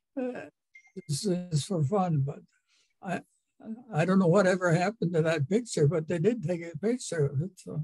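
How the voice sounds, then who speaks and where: A high-pitched man with an Upper Midwest accent and a dark, mellow tone, at a moderate pace with long, frequent pauses, in dry, close sound with no echo. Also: ordinary pitch variation. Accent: Upper Midwest American. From Rolette area, North Dakota, USA. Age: 80s+. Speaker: descendant of pioneer settlers. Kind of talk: interview answer.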